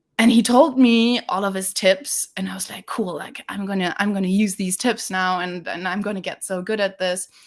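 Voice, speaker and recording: A woman with a German accent talks at a moderate pace and medium pitch, with ordinary pitch variation, hardly any pauses and big swings in loudness. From Germany. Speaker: sales development representative. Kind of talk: webinar interview. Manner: casual with many fillers and repetitions.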